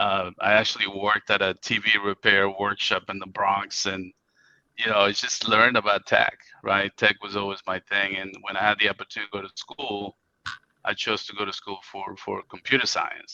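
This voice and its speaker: A man with a Spanish accent speaks at a moderate pace with a fairly low pitch, a bright, sharp tone and monotone, flat intonation, in a dry, close sound with no echo. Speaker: IT company CEO. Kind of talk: interview.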